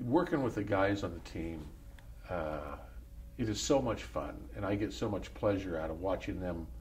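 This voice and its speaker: With audible room echo, a man speaks at a moderate pace in a very deep, low pitch with vocal fry, very wide pitch swings, and long, frequent pauses. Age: 70s. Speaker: former pro golfer. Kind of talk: interview.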